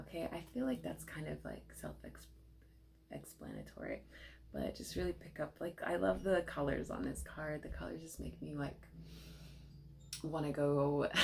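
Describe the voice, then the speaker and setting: A soft-spoken woman talks at a moderate pace with long, frequent pauses. Noticeable background noise is present. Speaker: tarot card reader. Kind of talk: tarot reading. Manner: casual, with many fillers.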